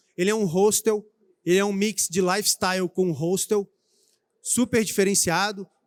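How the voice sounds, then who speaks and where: A man's high voice with a Rio de Janeiro accent, fairly even in intonation, with long, frequent pauses, in a dry, close sound with no echo. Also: moderate pace. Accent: carioca. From Brazil, Rio de Janeiro. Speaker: IT executive speaking at trade show. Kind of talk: conference talk. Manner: hesitant, many fillers.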